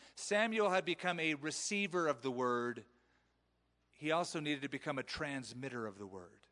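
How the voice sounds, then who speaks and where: A man's bright, sharp voice sits at a fairly high pitch, moving at a moderate pace with very wide pitch swings. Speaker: pastor. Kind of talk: sermon. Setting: church. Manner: animated.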